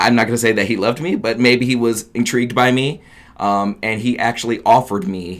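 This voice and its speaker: A man with an American accent speaks at a fairly quick pace with ordinary pitch variation. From US Midwest (Oberlin, Ohio). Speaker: radio phone screener. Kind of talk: interview. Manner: upbeat, positive.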